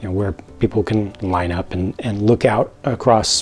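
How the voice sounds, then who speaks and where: A man speaks in a fairly low pitch with an American accent. His voice is somewhat breathy. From United States. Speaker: LEGO set reviewer. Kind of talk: product review. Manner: unscripted, hesitant with fillers and repeats.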